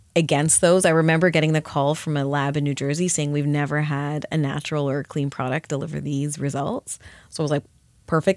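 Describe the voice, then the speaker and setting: A woman with a very deep, low pitch and a Canadian accent, fairly quick and monotone, with flat intonation, on a very clean recording with a silent background. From Canada. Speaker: skincare company founder. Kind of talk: interview. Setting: studio.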